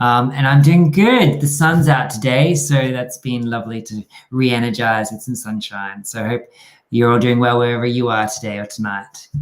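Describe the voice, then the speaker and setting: Moderate pace, ordinary pitch variation and big swings in loudness, in an Australian accent. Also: man, medium pitch for a man. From Australia, rural New South Wales. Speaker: dance company artistic director and choreographer. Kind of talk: interview.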